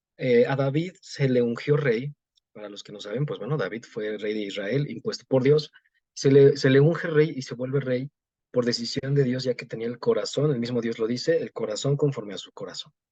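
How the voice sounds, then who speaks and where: A man's medium-pitched voice with a dark, mellow tone, ordinary pitch variation and big swings in loudness. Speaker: preacher. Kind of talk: sermon. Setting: pre-recorded at home. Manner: fast.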